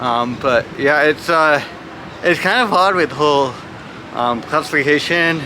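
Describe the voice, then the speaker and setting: Through audible room echo and noticeable background noise, a man with a fairly high pitch speaks at a fairly slow pace with long, frequent pauses, ordinary pitch variation and very even loudness. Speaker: adaptive athlete. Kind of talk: interview. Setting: gym. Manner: halting with many fillers.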